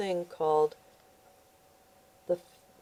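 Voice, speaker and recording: A woman speaks at a moderate pace, with a dry, close sound and no echo. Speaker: channel host reading books and health tips. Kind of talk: casual vlog talk. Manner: halting, with repeated words.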